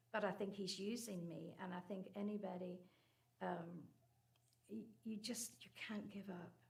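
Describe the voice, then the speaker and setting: A somewhat breathy woman with an American accent speaks at a medium pitch and a moderate pace. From Northern Ireland. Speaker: church member sharing cancer story. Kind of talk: personal testimony.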